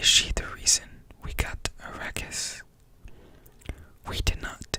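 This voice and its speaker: The voice is whispering. Noticeable background noise runs behind it. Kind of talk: audiobook reading. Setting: close-up microphone. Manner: whispered, soft-spoken.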